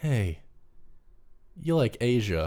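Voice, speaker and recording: This voice belongs to a man. His speech carries an American accent. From North Carolina, US South. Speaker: film student. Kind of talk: casual interview chat.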